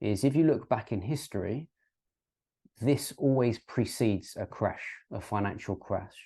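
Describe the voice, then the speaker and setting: At a moderate pace, a man with a dark, mellow tone speaks against a quiet background. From UK. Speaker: crypto and finance YouTuber. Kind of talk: educational explainer with graphs. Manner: hesitant, many ums and uhs.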